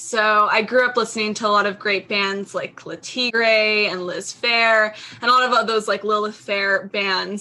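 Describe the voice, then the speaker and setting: A woman speaks with an American accent at a fairly slow pace and a fairly high pitch. Her tone is bright and sharp, her intonation monotone and flat. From Seattle area, Washington. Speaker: record label and zine founder. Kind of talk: casual chat.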